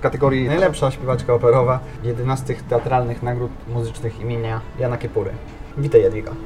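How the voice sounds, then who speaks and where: Over noticeable background noise, a man rattles on at a very fast pace and medium pitch with monotone, flat intonation. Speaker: podcast host. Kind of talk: interview. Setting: café.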